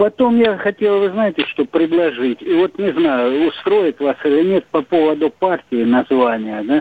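A man's high-pitched voice with very wide pitch swings and very even loudness, at a fairly slow pace with hardly any pauses. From southern Russia. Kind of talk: phone-in question. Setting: phone call.

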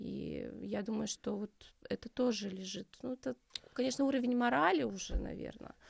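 A woman at a moderate pace, the sound dry and close with no echo. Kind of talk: interview conversation. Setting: studio.

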